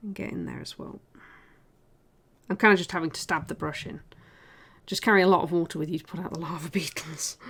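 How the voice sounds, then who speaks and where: On a very clean recording with a silent background, a woman with a fairly low pitch and vocal fry talks at a very fast pace. Her loudness swings a lot, her intonation stays fairly even, and her pauses are long and frequent. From South Yorkshire, England. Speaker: miniature painter and streamer. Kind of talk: casual livestream chat while painting.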